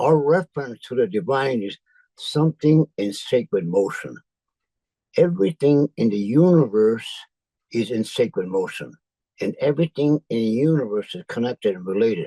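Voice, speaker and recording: A man's dark, mellow voice at a medium pitch, with an American accent, very wide pitch swings, and a dry, close sound with no echo. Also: moderate pace, big swings in loudness. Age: 90s. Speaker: spiritual leader. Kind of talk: talk sharing spiritual teachings.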